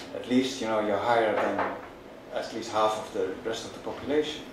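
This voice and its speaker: A man with a Dutch accent talks at a moderate pace. The recording has audible room echo and noticeable background noise. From Netherlands. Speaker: sociologist. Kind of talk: panel discussion. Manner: halting.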